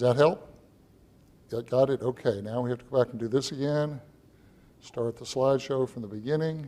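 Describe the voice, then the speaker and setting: A man with an American accent and a dark, mellow tone talks at a fairly quick pace with long, frequent pauses, a medium pitch, fairly even intonation and big swings in loudness. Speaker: church member presenting local history. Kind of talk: public presentation. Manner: fast.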